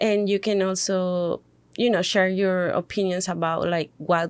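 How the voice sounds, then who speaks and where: Speaking at a fairly slow pace, a woman with a Spanish accent has a medium pitch. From Mexico City. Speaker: podcast co-host, hospitality worker. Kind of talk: casual podcast chat. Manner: halting, many fillers.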